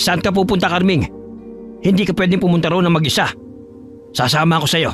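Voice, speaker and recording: A man puts on a character voice, pitched high and delivered at a very fast pace. Music plays clearly in the background. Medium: read story. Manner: gentle, concerned.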